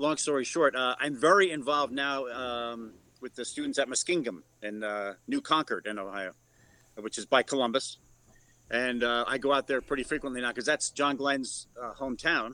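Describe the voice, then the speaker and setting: A man with a New York accent speaks at a moderate pace in a bright, sharp tone, his medium pitch showing ordinary variation. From New York City (Bronx). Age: 50s. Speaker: radio news reporter. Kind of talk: casual chat. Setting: video call.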